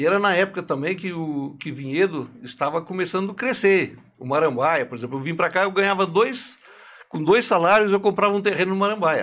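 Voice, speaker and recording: A high-pitched man's voice at a fairly quick pace with ordinary pitch variation. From Santa Catarina countryside, southern Brazil. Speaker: furniture company founder. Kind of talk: interview storytelling.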